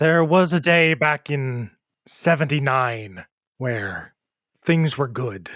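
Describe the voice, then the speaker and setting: Using a put-on character voice, a man speaks very slowly in a fairly high pitch with lively intonation, on a very clean recording with a silent background. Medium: actual play.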